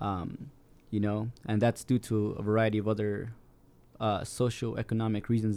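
A man with an American accent, fairly low-pitched, in a dark, mellow tone with monotone, flat intonation at a fairly quick pace. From Salt Lake City, Utah. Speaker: artist and DACA recipient. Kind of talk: panel discussion on radio.

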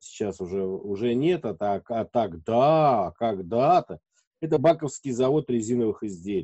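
Using an ordinary speaking voice, a man with a medium pitch talks at a fairly slow pace with lively intonation. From Moscow region, Russia. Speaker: radio host and editor. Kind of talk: casual interview chat.

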